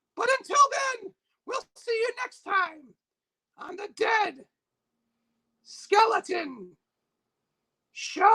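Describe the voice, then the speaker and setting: A put-on character voice, squeaky and extremely high. It moves at a very slow pace with long, frequent pauses. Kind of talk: playful livestream storytelling. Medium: game stream. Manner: rambling, jokey, easily distracted.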